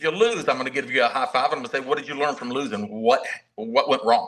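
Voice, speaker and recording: A man with a Southern US accent talks at a very fast pace. His fairly high-pitched voice makes very wide pitch swings. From US South (Mobile, Alabama). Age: 60s. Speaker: martial arts master instructor. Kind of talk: casual interview chat. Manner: halting, many repetitions.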